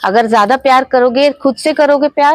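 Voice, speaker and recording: The speaker is a woman. She has a Bengali accent. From Ranchi, Jharkhand, India. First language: Bengali (speaking Hindi). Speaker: author and life coach. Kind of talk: interview.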